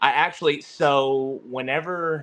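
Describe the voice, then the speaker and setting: In a Southern accent, a man of medium pitch speaks with a bright, sharp tone. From Texas, north of Dallas. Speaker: disc golf player. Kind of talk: casual interview chat. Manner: filler-heavy, repetitive.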